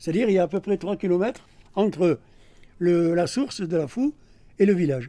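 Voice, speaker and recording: A man's high-pitched, dark, mellow voice at a moderate pace. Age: 70s. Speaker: retired journalist and local councillor. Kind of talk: interview answering schoolchildren's questions, explanatory. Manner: hesitant, with frequent fillers.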